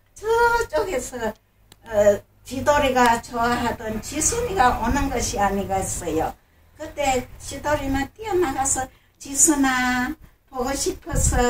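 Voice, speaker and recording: A woman talks very slowly in a high voice with lively intonation. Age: 80s+. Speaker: storyteller. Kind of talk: children's story reading. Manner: animated, expressive.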